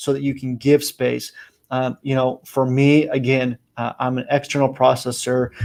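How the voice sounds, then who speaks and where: The man's dark, mellow tone sits at a medium pitch, and he speaks at a moderate pace. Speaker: team coach. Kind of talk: motivational talk.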